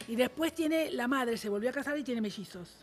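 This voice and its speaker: A woman's high-pitched voice, bright and sharp in tone, with lively intonation and light background noise. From Argentina. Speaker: showbiz gossip panelist; panelist. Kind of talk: casual panel chat. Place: studio. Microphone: studio mic.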